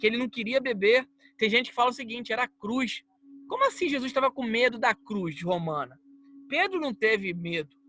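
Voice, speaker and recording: A man speaks in an extremely high, raised and projected voice, bright and sharp in tone. His intonation is lively, the pace fairly quick, and the sound dry and close with no echo. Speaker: preacher. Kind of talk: bible teaching.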